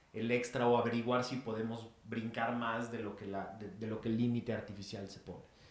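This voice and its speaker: A man at medium pitch with monotone, flat intonation, a moderate pace and audible room echo. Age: 40s. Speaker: podcast co-host, speaker. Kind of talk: casual chat.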